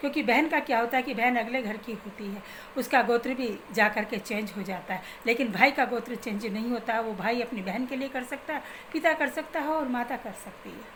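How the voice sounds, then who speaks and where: Amid noticeable background noise, a woman speaks at a high pitch with ordinary pitch variation and big swings in loudness. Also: moderate pace. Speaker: spiritual remedy advisor. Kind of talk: religious advice talk.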